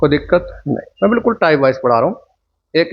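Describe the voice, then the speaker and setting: A soft-spoken man with a high pitch. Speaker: teacher. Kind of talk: lecture. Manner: slow.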